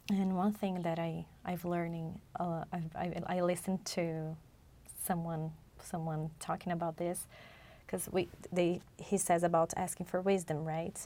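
A woman with a Portuguese accent, her fairly low pitch dark and mellow in tone, at a fairly slow pace in a monotone, flat intonation, in a very clean recording with a silent background. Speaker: podcast co-host. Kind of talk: religious study discussion. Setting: studio.

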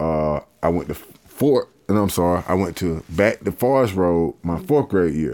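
In a Georgia accent, a man speaks at a moderate pace with a very deep, low pitch. His tone is dark and mellow. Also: lively intonation, hardly any pauses. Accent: Southern US (Georgia). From US South, Columbus, Georgia. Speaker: rapper. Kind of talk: casual interview chat.

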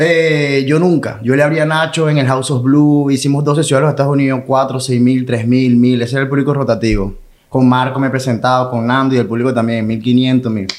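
A man speaks at a medium pitch with fairly even intonation, very even loudness and hardly any pauses. Audible room echo surrounds his voice. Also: fairly quick pace. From Venezuela, Maracay. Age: 30s. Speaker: comedian. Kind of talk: casual chat.

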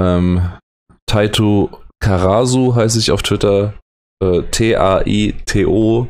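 A man speaks at a very slow pace. His pitch is fairly low, and his intonation is fairly even. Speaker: educator and podcast host. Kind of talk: solo late-night podcast monologue. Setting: recording alone late at night. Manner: halting, hesitant.

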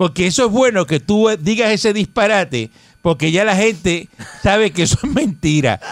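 In a Puerto Rican accent, the speaker sounds animated, with lively intonation, very even loudness and a moderate pace. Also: man, high pitch for a man. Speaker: radio host. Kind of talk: news reading; casual chat.

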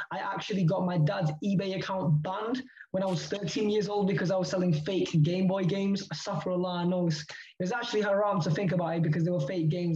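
There is audible room echo as a man talks at a fairly quick pace in a high voice. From Leeds, northern England. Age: 20s. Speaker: crypto entrepreneur. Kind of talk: casual interview. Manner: animated.

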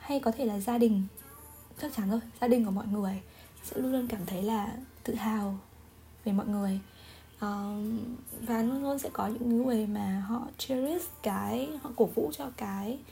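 With noticeable background noise behind her, a woman at a fairly high pitch talks at a fairly slow pace, leaving long, frequent pauses, her pitch varying in an ordinary way. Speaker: solo podcaster. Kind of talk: casual monologue. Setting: home recording with background music.

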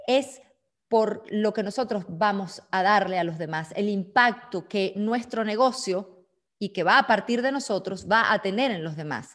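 Speaking fairly slowly in an unremarkable speaking voice, a woman keeps a medium pitch with ordinary pitch variation. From Venezuela. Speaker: business consultant and speaker. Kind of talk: online seminar talk.

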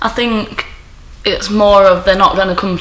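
A woman talks with an East Midlands accent and fairly even intonation. Noticeable background noise runs behind her. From Nottingham, East Midlands. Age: 20s. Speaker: postal worker. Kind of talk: casual chat.

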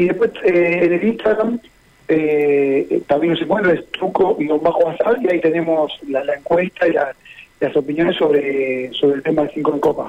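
A voice with ordinary pitch variation, speaking at a moderate pace. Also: man, high pitch for a man. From Buenos Aires, Argentina. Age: 50s. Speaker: truco association president. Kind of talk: radio interview. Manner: halting.

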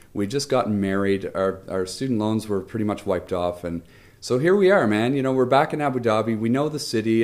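Over a very clean recording with a silent background, a man at medium pitch speaks in a plain, everyday voice with lively intonation. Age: 30s. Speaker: international school teacher. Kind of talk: casual interview chat.

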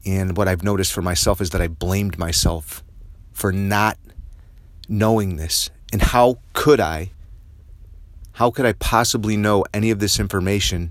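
A man speaks at a moderate pace with a fairly low pitch. His pitch variation is ordinary, and he takes long, frequent pauses. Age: 50s. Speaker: podcast host. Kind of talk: personal monologue.

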